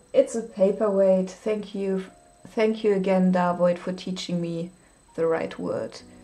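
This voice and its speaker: With a German accent, a woman speaks at medium pitch and a fairly slow pace, her intonation fairly even. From Germany. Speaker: livestreaming artist. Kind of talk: casual livestream chat while painting. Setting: live stream. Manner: hesitant, with fillers.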